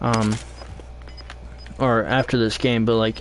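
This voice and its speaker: A man's medium-pitched voice at a fairly slow pace, over noticeable background noise. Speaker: video game streamer. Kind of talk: live gameplay stream chat. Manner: halting, many fillers.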